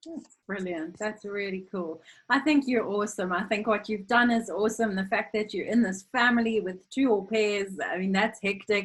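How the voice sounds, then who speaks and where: Somewhat breathy, a woman talks with hardly any pauses. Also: medium pitch for a woman, ordinary pitch variation, moderate pace. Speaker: former au pair, interviewer. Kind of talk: interview.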